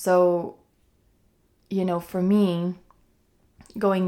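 Speaking at a very slow pace, a woman holds a medium pitch with monotone, flat intonation. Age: 30s. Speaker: mindset coach and yoga instructor hosting a wellness podcast. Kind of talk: solo podcast monologue, unscripted. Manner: casual, conversational with frequent fillers and laughs.

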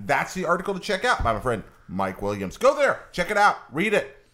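Vocal fry colors the man's voice as his pitch swings very widely. He talks at a fairly quick pace. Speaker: podcast host. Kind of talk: casual chat. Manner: fast.

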